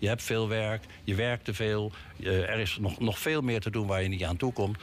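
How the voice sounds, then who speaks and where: A man with a fairly low, somewhat breathy voice talks at a moderate pace, his pitch varying in an ordinary way. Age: old. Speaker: city councillor. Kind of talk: radio interview. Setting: studio. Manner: halting.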